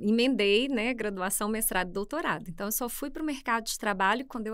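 A woman's bright, sharp tone at a fairly quick pace over a quiet background. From Brazil, interior of Minas Gerais. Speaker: public administration school head, economist; podcast guest. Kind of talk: interview conversation. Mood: warm, relaxed, slightly humorous. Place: studio. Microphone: studio mic.

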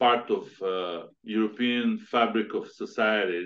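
A man talks with ordinary pitch variation. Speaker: podcast host. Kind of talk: interview. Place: home room. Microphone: video call.

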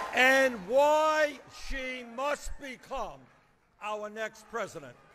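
A man with an American accent speaks very slowly in a raised, projected voice at an extremely high pitch over light background noise. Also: ordinary pitch variation. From United States. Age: 70s. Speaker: politician giving a campaign endorsement speech. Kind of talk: rally speech. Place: stage. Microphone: podium.

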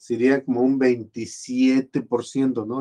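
With a quiet background behind him, a man is speaking. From Mexico. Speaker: video blogger commenting on politics. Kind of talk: casual spoken commentary. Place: home room. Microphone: webcam.

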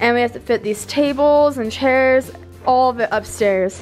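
Faint music plays behind a woman who speaks fairly slowly with ordinary pitch variation. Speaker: vlogger. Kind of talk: casual vlog chat. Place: home room. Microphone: phone near.

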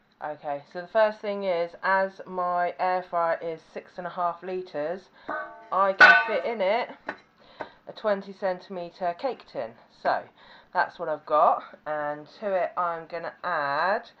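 Music plays in the background as a woman speaks. Her pace is fairly slow, her pitch variation ordinary. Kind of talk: cooking tutorial. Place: kitchen.

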